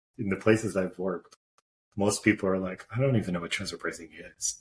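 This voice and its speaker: Somewhat breathy, a man speaks at a fairly quick pace with a fairly low pitch. His intonation stays fairly even. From Portugal, moved to US at nine. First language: Portuguese. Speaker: corporate tax executive. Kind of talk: podcast interview.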